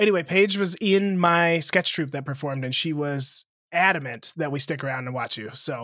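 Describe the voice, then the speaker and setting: A man with a normal speaking voice talks at a moderate pace with ordinary pitch variation, recorded very cleanly against a silent background. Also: fairly high pitch for a man. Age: 20s. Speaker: comedian. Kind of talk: casual chat.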